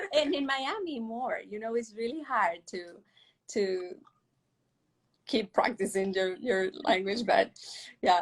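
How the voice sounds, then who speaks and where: A woman with a Mexican accent speaks at a very slow pace with lively intonation and long, frequent pauses. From Mexico (Monterrey). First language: Spanish. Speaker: professional ballet dancer. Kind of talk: interview. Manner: halting.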